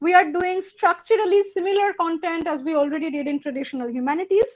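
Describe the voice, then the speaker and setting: With a Bengali accent, a woman talks at a fairly quick pace and an extremely high pitch. Her intonation is lively. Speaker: university lecturer. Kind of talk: lecture.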